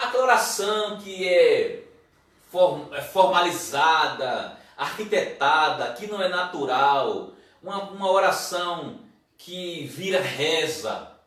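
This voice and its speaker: In a room with audible echo, a man speaks very slowly in a high pitch, with ordinary pitch variation and big swings in loudness. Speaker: pastor. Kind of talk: sermon.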